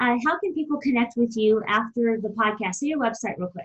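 A woman speaks in an upbeat, enthusiastic tone at a high pitch. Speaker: podcast host. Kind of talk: interview, scripted intro.

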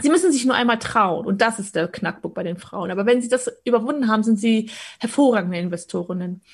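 A woman talks at a very fast pace and a fairly high pitch. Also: lively intonation. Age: 30s. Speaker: stock market coach. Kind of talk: interview conversation.

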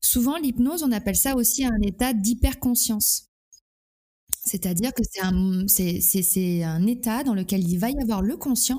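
The voice is somewhat breathy, with a dark, mellow tone and ordinary pitch variation at a fairly slow pace. The recording is very clean, with a silent background. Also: woman. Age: 40s. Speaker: hypnotherapist. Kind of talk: interview. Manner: halting.

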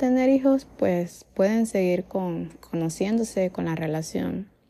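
Speaking at a very slow pace, a woman with a medium pitch and a dark, mellow tone uses ordinary pitch variation. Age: 20s. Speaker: podcaster. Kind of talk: casual monologue. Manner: halting.

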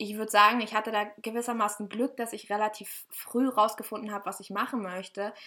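At a fairly quick pace, a woman speaks in a fairly high pitch with a bright, sharp tone, monotone, flat intonation and big swings in loudness. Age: 20s. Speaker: podcast co-host. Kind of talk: casual chat.

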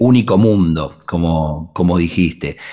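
A man's very deep, low pitch with a dark, mellow tone. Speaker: radio host. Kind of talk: radio interview; announcement.

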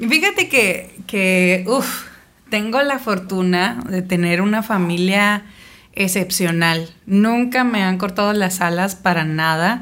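A woman at a very slow pace, her loudness very even throughout. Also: medium pitch for a woman, ordinary pitch variation. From Mexico, Sonora (Navojoa). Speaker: singer. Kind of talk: casual interview. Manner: animated.

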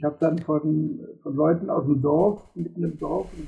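A man's voice, pitched fairly high, moves along at a moderate pace. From Germany, Cologne area (Rhineland). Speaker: retired civil engineer. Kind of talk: interview. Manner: hesitant, many fillers.

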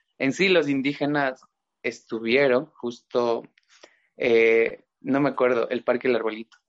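At a fairly slow pace, a man talks with fairly even intonation and medium pitch. He has an ordinary speaking voice. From Ecuador, Chimborazo province. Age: young. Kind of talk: casual chat.

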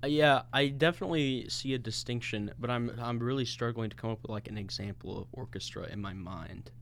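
A man talks in a plain, everyday voice at a medium pitch with ordinary pitch variation. His pace is fairly quick, with hardly any pauses. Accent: American. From US Midwest (St. Louis, Missouri). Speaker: podcast co-host. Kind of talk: casual chat. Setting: recording studio.

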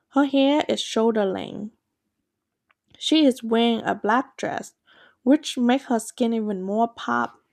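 Pausing long and often, a woman speaks at a fairly slow pace in a dry, close sound with no echo, recorded very cleanly against a silent background. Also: fairly high pitch for a woman, ordinary pitch variation. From Asia, moved to Maryland at 16. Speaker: podcaster. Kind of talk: personal storytelling.

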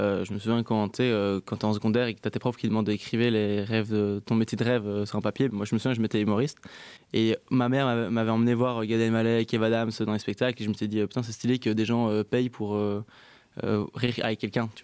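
Flat, monotone delivery at a fairly quick pace, on a very clean recording with a silent background. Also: man. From Belgium, Brussels. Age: 20s. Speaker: stand-up comedian. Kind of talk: casual interview.

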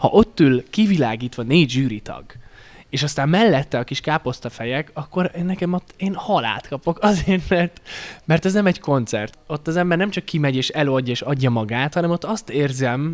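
Here a man talks at a fairly quick pace. His pitch is fairly high and swings very widely. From Slovakia, Hungarian minority (Párkány). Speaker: singer-songwriter. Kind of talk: interview.

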